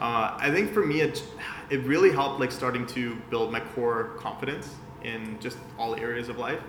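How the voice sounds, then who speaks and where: A man of medium pitch and ordinary pitch variation speaks at a moderate pace as noticeable background noise carries on. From Vienna, Austria. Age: 20s. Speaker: digital marketing agency founder. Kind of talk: casual interview chat.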